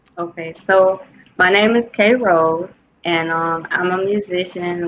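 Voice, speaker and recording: With a slight Southern US accent, a woman talks in a fairly even intonation. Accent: slight Southern US twang. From Detroit, Michigan, US. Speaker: musician. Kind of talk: interview.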